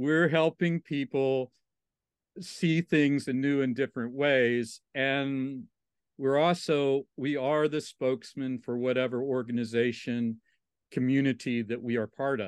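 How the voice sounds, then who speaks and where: An unremarkable speaking voice from a man with an American accent, medium pitch, fairly even intonation and a fairly slow pace, dry and close with no echo over a quiet background. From Southwest Virginia, Appalachia. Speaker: interpretive trainer and consultant. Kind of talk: casual interview conversation. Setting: remote call.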